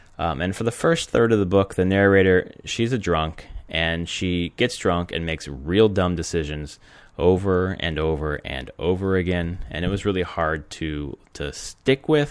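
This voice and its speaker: A man with a very deep, low pitch speaks at a fairly slow pace with ordinary pitch variation, in a very clean recording with a silent background. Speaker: gaming podcast host. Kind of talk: casual podcast monologue. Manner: many filler words.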